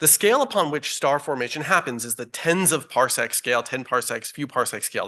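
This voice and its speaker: Over a quiet background, a man speaks in a fairly high pitch. His tone is bright and sharp, with lively intonation. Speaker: astronomer. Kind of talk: press conference presentation. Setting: press conference room with audience. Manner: fast; many filler ums.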